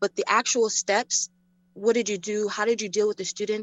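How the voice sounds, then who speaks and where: Speaking at a fairly quick pace, a woman with a fairly high pitch talks with a slight New York accent. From New York, Queens. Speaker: community stakeholder, education chair. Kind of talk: public Q&A question. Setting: video call. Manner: halting.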